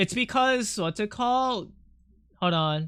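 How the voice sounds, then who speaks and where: In a raised, projected voice with a bright, sharp tone, a man speaks fairly slowly with lively intonation. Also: very clean recording, silent background. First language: not English. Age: 30s. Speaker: artist streamer. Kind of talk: casual live stream chat. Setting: live stream. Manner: animated.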